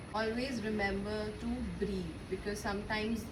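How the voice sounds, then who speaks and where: A fairly high-pitched female voice amid noticeable background noise. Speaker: yoga teacher. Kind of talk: yoga class instruction.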